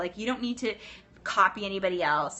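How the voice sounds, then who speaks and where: With an American accent, a woman talks at a fairly quick pace in a medium pitch with ordinary pitch variation. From US West Coast (Los Angeles). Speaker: pilates instructor and business coach. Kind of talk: live stream chat. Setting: live stream from teachers lounge. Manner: fast; animated.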